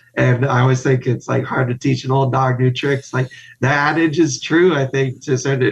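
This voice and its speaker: A man speaks at a fairly quick pace in a medium, somewhat breathy voice. His loudness is very even and his intonation monotone and flat. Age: 30s. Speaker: guest, spinal cord injury survivor. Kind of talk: casual interview chat.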